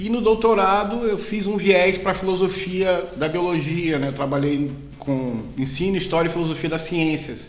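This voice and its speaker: With a Bahian accent, a man speaks at a high pitch and moderate pace, with ordinary pitch variation and hardly any pauses. Noticeable background noise and audible room echo are present. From Brazil, Bahia (Salvador). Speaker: biology professor. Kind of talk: casual academic chat.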